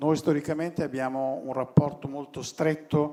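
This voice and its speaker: Music plays behind a man speaking with an Italian accent. His intonation stays fairly even. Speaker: design association president. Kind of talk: welcome speech. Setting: stage at award ceremony.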